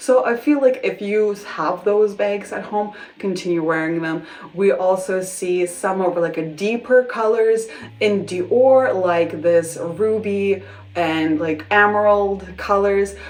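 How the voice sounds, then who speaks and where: Woman at medium pitch with ordinary pitch variation and a very slow pace, over noticeable background noise. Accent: non-native. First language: not English. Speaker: fashion vlogger. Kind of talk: casual vlog talk to camera. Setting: bedroom at home. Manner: casual, hesitant with restarts.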